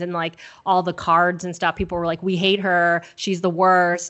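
Talking at a fairly quick pace, a woman with a Californian accent has a fairly low pitch. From Southern California. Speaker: film podcast guest. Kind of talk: casual chat.

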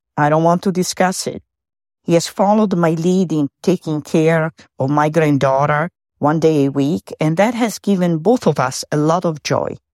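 A woman with a very deep, low pitch and lively intonation speaks at a fairly slow pace in a very clean recording with a silent background and a dry, close sound with no echo. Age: old. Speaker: Al-Anon member, grandmother. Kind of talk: voice memo testimony. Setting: recorded voice memo. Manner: hesitant, with fillers.

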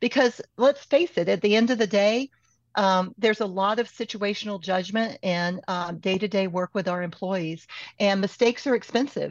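A normal speaking voice from a woman, medium-pitched with ordinary pitch variation, at a moderate pace. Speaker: HR consultant. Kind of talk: interview conversation.

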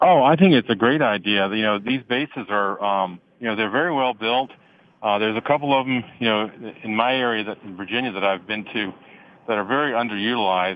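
At a fairly quick pace, a man with a normal speaking voice talks at medium pitch. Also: ordinary pitch variation. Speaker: conference organizer. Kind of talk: radio interview. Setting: phone call from a commuter train.

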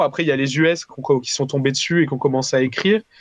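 A man with a normal speaking voice and fairly high pitch talks at a fairly quick pace against a quiet background. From southern France, Valence. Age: 20s. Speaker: indie game developer. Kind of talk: casual interview.

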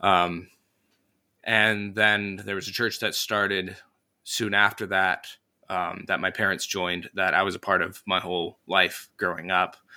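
This man talks in a fairly low pitch with a bright, sharp tone. His intonation is monotone and flat. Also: fairly slow pace. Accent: US Midwestern. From northern Indiana, US Midwest. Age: young. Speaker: Sunday school teacher and podcaster. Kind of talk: casual interview.

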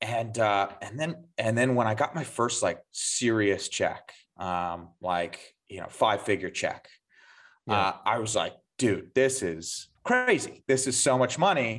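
A man with an ordinary speaking voice talks at a fairly slow pace and medium pitch, his intonation lively against a quiet background. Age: 30s. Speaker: sales executive. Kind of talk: podcast interview.

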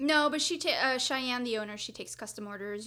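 Talking very fast with lively intonation, a woman is heard over noticeable background noise. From Mexico, small town. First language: Spanish. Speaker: podcast host. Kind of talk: casual interview.

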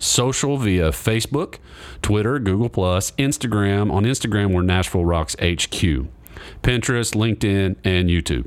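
Heard on a very clean recording with a silent background, a man uses a normal speaking voice at a fairly low pitch, a moderate pace and lively intonation. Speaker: music podcast host. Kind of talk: casual interview. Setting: studio.

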